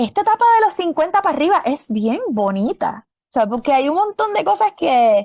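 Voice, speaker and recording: A woman with a high pitch, very wide pitch swings and an animated tone, at a moderate pace with very even loudness, in a dry, close sound with no echo. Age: 50s. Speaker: epidemiologist. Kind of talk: interview.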